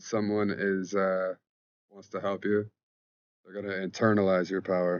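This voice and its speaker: In a very deep, low voice, a man speaks in a flat monotone, with big swings in loudness and long, frequent pauses. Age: 30s. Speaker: spirituality vlogger. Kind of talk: casual monologue vlog. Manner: fast; informal, halting.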